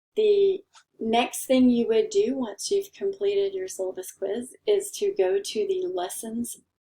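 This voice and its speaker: Dark and mellow in tone, a woman's voice sits at high pitch. She speaks at a fairly slow pace with very wide pitch swings. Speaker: college instructor. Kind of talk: tutorial.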